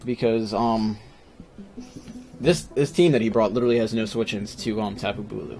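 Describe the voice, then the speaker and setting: Music plays in the background as a man speaks at a medium pitch and a moderate pace. He uses ordinary pitch variation and leaves long, frequent pauses. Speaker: competitive gaming YouTuber. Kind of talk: gameplay commentary. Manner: hesitant, many fillers; shaky voice.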